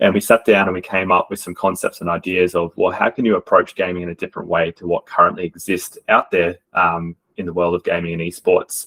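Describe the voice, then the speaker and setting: With a strong Australian accent, a man talks at a fairly quick pace with hardly any pauses, in a dry, close sound with no echo. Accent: Australian, strong regional. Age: adult. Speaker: esports coach. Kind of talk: presentation.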